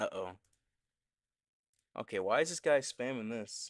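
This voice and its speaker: A man speaks quietly at a medium pitch. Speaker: gaming streamer. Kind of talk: live gameplay stream chat.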